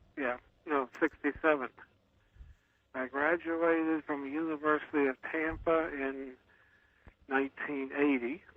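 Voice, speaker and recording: A man at a fairly high pitch, with monotone, flat intonation, a fairly slow pace and long, frequent pauses. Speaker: engineer and author. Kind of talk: phone interview. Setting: phone call. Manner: terse.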